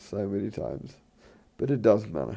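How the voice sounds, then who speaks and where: Against a quiet background, a man with vocal fry talks at a moderate pace in a fairly low pitch. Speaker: gaming youtuber. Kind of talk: let's play commentary. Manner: halting, many fillers and restarts.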